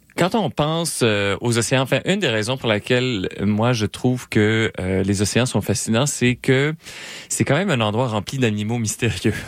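A man with an ordinary speaking voice and medium pitch talks at a moderate pace with ordinary pitch variation and very even loudness, in a very clean recording with a silent background. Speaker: science popularization radio co-host. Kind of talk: casual science chat on radio.

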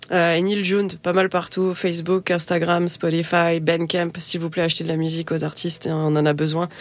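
A woman's fairly low, monotone, flat voice with hardly any pauses, over noticeable background noise. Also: moderate pace. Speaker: singer-songwriter. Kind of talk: interview. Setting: studio. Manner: halting, hesitant.

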